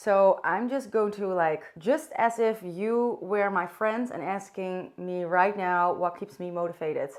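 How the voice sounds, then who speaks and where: Against a quiet background, a woman with a Dutch accent speaks at a fairly slow pace in a medium pitch with ordinary pitch variation. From Netherlands. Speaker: vlogger. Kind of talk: casual chat. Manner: unscripted, halting at times.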